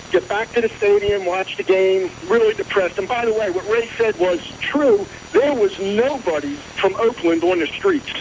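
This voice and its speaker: A man's high voice with an American accent, moderate pace and ordinary pitch variation, over noticeable background noise. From Philadelphia area, New Jersey. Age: 60s. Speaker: caller. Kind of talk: phone-in call.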